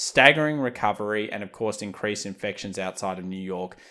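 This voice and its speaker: A man with an Australian accent, fairly low in pitch, with ordinary pitch variation. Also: very clean recording, silent background. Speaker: market analysis youtuber. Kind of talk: market commentary video.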